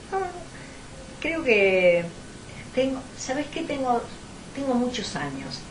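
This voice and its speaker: A woman's high-pitched voice at a very slow pace, with very wide pitch swings, long and frequent pauses, noticeable background noise and audible room echo. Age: 70s. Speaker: historian. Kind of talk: interview. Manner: halting, with many repetitions.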